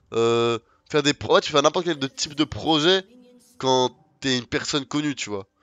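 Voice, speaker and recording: The speaker's pace is fairly slow, and music is audible in the background. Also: man. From France, Lyon area and south. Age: 20s. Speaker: gaming streamer. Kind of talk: casual live-stream chat while gaming.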